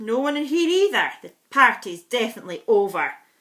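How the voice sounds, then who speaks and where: A gruff, put-on character voice with a grumpy tone swings very widely in pitch. It moves at a fairly quick pace. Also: woman, high pitch for a woman. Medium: read story. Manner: grumpy, gruff.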